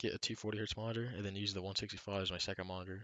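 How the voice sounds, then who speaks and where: Soft-spoken, a man talks at a very fast pace. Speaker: gaming streamer. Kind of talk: live stream commentary. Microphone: headset mic close to mouth.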